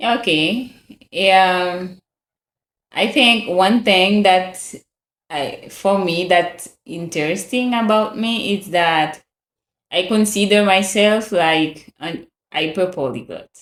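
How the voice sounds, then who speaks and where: Speaking at a very slow pace, a woman uses ordinary pitch variation and long, frequent pauses. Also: medium pitch for a woman. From Haiti. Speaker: language learner. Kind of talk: casual chat.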